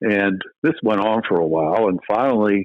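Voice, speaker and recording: A man with a Pennsylvania accent speaks with ordinary pitch variation. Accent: Pennsylvania American. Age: 60s. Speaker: retired game warden. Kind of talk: casual interview chat. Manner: halting, repeats words.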